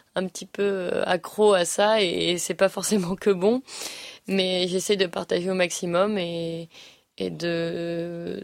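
A woman speaks at a very slow pace with a medium pitch and monotone, flat intonation. The recording is very clean and the background silent. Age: 20s. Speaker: show jumping rider. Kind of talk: interview. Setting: at a competition venue.

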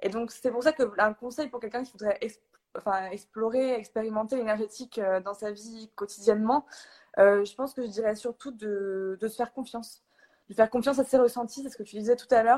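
In a dry, close recording with no echo, a woman speaks at a fairly high pitch and fairly quick pace, her intonation fairly even but her loudness swinging widely. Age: 20s. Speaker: energy healer. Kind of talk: casual chat. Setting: Instagram live video call.

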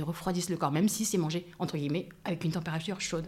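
A woman at a fairly low pitch, with fairly even intonation and a very fast pace. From France. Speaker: life coach. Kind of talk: casual interview. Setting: in person.

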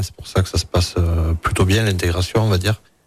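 A man with a southwestern French accent speaks in a very deep, low pitch. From Hautes-Pyrénées, southwest France. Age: 40s. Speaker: chef. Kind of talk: radio interview.

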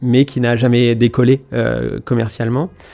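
A man talks at a moderate pace and medium pitch, with a dark, mellow tone. His intonation is fairly even, and the background is quiet. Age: 30s. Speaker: company founder. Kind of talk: interview. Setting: studio.

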